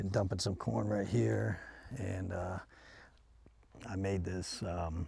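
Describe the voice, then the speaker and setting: A man's very deep, low voice with a dark, mellow tone, vocal fry, lively intonation and a fairly slow pace. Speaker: business owner and hobby rancher vlogger. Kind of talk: casual vlog narration. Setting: outdoors. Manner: hushed, quiet.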